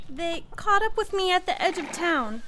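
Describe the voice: A woman uses a put-on character voice at an extremely high pitch, bright and sharp in tone. Her intonation is lively and her pace moderate.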